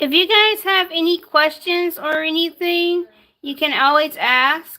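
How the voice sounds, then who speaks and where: A woman's raised, projected voice, extremely high in pitch and bright and sharp in tone, with fairly even intonation at a fairly slow pace. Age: 20s. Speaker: baking livestreamer. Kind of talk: cooking tutorial livestream. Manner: halting.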